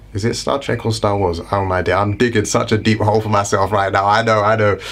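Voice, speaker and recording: Talking very fast, a man with a British accent keeps an animated tone. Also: fairly low pitch for a man. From Britain. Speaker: health and lifestyle YouTuber. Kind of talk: casual educational vlog.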